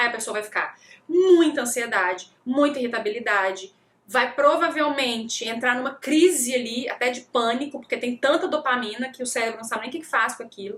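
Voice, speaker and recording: A woman's high-pitched, animated voice with ordinary pitch variation, a fairly quick pace and big swings in loudness. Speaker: nutritionist. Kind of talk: live talk.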